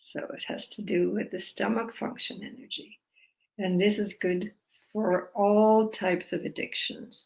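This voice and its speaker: The voice is somewhat breathy with fairly even intonation. It moves at a fairly slow pace. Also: woman, medium pitch for a woman. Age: 80s+. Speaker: energy healing teacher. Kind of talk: guided self-help practice talk.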